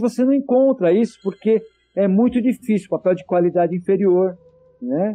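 The man's pitch is high, with ordinary variation. His pace is moderate. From Santo André, São Paulo state, Brazil. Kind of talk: interview.

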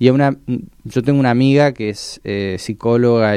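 Here a man speaks with a Mendoza accent and lively intonation. His tone is dark and mellow. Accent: Mendoza sing-song accent, still noticeable. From Mendoza, Argentina. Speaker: podcast creator, psychology student. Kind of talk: radio interview. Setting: radio studio. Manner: slow; halting.

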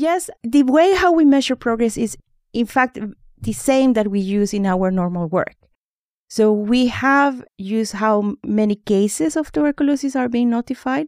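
A woman with a Spanish accent speaks at a moderate pace and a fairly high pitch, on a very clean recording with a silent background and a dry, close sound with no echo. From Honduras. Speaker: microbiologist, public health expert. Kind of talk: interview.

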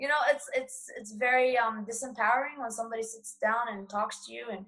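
This woman has an unremarkable speaking voice, pitched fairly high, with fairly even intonation at a moderate pace. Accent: American. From United States. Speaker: blind traveler and speaker. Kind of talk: panel discussion. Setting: video call.

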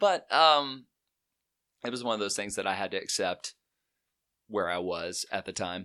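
A man with an Alabama accent and a fairly low voice talks at a moderate pace with lively intonation, a bright, sharp tone and long, frequent pauses. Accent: US Southern (Alabama). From Alabama, Chelsea in Shelby County. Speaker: musician. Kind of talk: casual chat.

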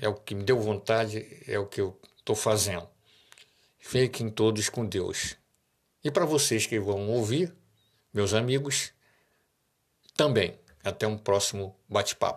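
Long, frequent pauses from a man with a fairly low pitch, ordinary pitch variation, and a fairly slow pace. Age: 60s. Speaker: radio host. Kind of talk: casual monologue.

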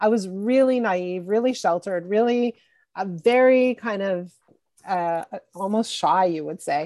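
In an ordinary speaking voice, a woman talks at a medium pitch and a moderate pace with ordinary pitch variation, a dry, close sound with no echo and a quiet background. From Montreal, Quebec, Canada. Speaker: executive coach. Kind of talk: interview.

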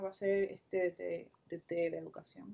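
A woman with a Puerto Rican accent. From Puerto Rico. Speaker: fashion designer. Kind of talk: casual interview conversation.

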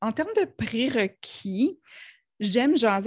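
A somewhat breathy woman with a slight New Brunswick accent, in a dry, close sound with no echo and a very clean recording over a silent background. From New Brunswick, Canada (Acadian). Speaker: Facebook ads consultant. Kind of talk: casual interview.

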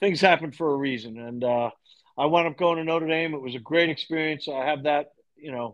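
A man with an unremarkable speaking voice talks at a fairly quick pace, his pitch fairly high and its variation ordinary. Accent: American. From Long Island, New York. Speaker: lacrosse coach. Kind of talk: interview.

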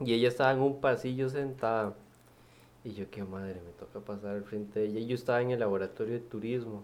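With big swings in loudness, a man talks at a very fast pace, his medium pitch held in fairly even intonation. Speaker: radio co-host. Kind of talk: casual chat.

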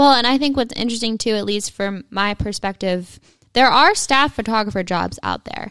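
A woman speaks in an ordinary speaking voice, fairly high in pitch, at a moderate pace. Her pitch varies in an ordinary way in a very clean recording with a silent background. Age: 20s. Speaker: podcast co-host, photographer. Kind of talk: casual chat.

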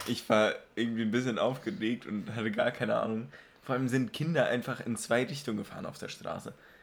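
This man has a medium pitch and talks at a very fast pace. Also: ordinary pitch variation. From Germany. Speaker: podcast host. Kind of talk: casual chat.

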